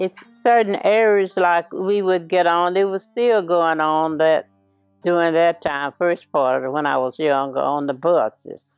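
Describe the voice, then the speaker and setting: Music plays in the background as a woman speaks in an American accent. Her fairly low voice has ordinary pitch variation and a fairly slow pace. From Houston, Texas (West End). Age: 80s+. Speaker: elderly interviewee recounting family history. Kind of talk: oral history interview. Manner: halting, with many fillers and restarts.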